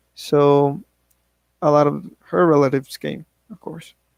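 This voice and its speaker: Recorded dry and close with no echo, a man with a fairly high voice speaks at a very slow pace with a Spanish accent. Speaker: English learner. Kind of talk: class speech, personal story. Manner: halting, with self-corrections.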